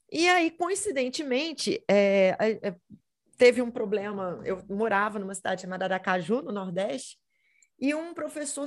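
Against a quiet background, a woman talks at a fairly slow pace. Her pitch swings very widely. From Brazil, Minas Gerais. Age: 30s. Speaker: history teacher and model. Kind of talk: casual interview.

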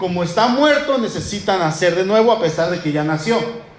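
A man talks at a moderate pace. The room echo is audible and the background noise noticeable. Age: 30s. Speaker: pastor. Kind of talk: sermon.

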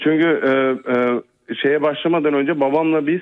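This man talks at a moderate pace, his fairly high voice rising and falling in an ordinary way. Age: 40s. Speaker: caller. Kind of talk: telling a personal story.

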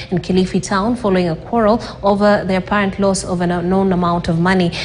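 The intonation stays fairly even, with noticeable background noise behind it. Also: woman. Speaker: true crime narrator. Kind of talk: scripted true-crime narration. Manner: measured, solemn, formal storytelling delivery; steady, even-paced and grave.

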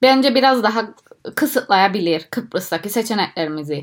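A woman's lively intonation at a moderate pace, in a very clean recording with a silent background. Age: 20s. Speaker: PhD student in microbiology. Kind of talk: interview. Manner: halting, many fillers.

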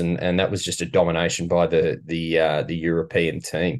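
A man with an Australian accent, over a quiet background. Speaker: golf podcast co-host. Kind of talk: casual chat.

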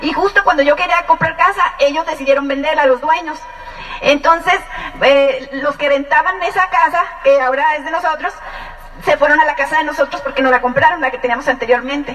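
A woman's high pitch at a fairly quick pace with ordinary pitch variation, and music in the background. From Mexico, Ensenada, Baja California. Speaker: business couple giving testimony. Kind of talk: testimony.

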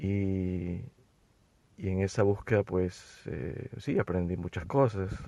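A man speaks very slowly at a very deep, low pitch. His pitch variation is ordinary, and the background is quiet. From Ecuador. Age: 40s. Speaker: therapist. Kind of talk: interview.

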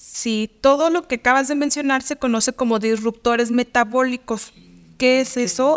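In an unremarkable speaking voice, a woman talks at a moderate pace with fairly even intonation, the sound dry and close with no echo. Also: very clean recording, silent background. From Mexico, Durango. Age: 30s. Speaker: nutritionist. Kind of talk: interview.

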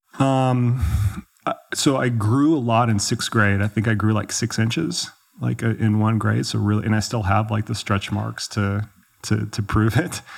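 Fairly low pitch and ordinary pitch variation from a man, a plain, everyday voice. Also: moderate pace. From Texas, Dallas. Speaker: ultrarunning coach. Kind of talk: casual interview chat. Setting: in person in Chamonix, France.

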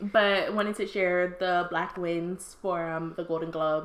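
At a fairly slow pace, a woman with a medium pitch and ordinary pitch variation speaks in a normal speaking voice. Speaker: podcast co-host. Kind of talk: casual chat.

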